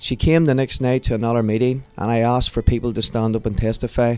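A man with a Northern Irish accent talks very fast at a medium pitch, his dark, mellow tone delivered in a monotone, flat way. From Northern Ireland, Portadown. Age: 30s. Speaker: pastor. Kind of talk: testimony; prayer.

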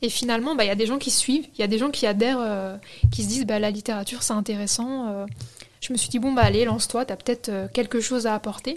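A woman talks very fast in a fairly high voice, keeping her intonation fairly even. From France, Algerian heritage. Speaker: book influencer. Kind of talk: interview.

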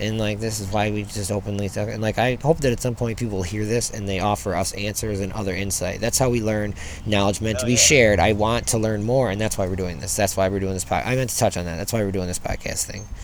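A man with a fairly low voice talks very fast, with hardly any pauses and a fairly even intonation. The room echo is audible, and background noise is noticeable. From rural area. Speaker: podcast host, parent. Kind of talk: casual chat. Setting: outdoors.

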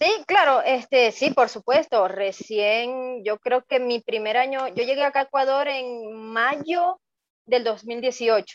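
With a Venezuelan accent, a woman speaks very slowly at a high pitch with ordinary pitch variation, the sound dry and close with no echo. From Venezuela, Maracaibo, Zulia. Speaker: migrant guest. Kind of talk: testimony.

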